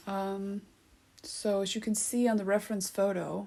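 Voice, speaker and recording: A woman with a non-native accent, medium in pitch, her intonation monotone and flat. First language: not English. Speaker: art tutorial creator. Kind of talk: tutorial. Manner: hesitant, many fillers; casual, conversational.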